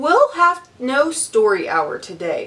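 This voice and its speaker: A woman puts on a character voice, high-pitched and delivered at a fairly slow pace. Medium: read story. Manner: harsh, snapping.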